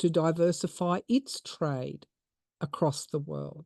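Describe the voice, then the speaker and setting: A woman with an Australian accent speaks very slowly at a fairly low pitch and with a dark, mellow tone, in a dry, close sound with no echo against a quiet background. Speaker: tarot reader and podcaster. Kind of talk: tarot reading monologue.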